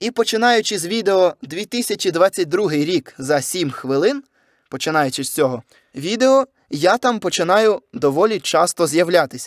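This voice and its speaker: Pitch swings very widely at a fairly slow pace, and the sound is dry and close with no echo. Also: man, high pitch for a man. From southern Ukraine, Kherson, then Lviv region. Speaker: YouTuber and voice-over artist. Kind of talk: casual solo podcast monologue.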